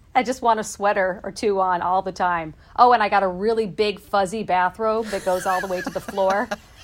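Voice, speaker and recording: A woman with a plain, everyday voice at medium pitch, fairly quick pace, hardly any pauses, and fairly even intonation. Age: 30s. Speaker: consumer news reporter. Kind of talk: casual chat. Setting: home basement.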